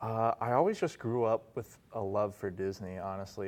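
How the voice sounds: With an American accent, a man speaks at a fairly low pitch in a slightly mellow tone.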